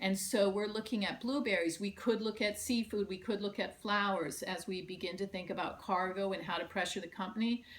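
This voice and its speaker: With hardly any pauses, a woman of medium pitch speaks at a fairly quick pace with fairly even intonation over noticeable background noise. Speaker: union organizer. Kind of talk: conference presentation.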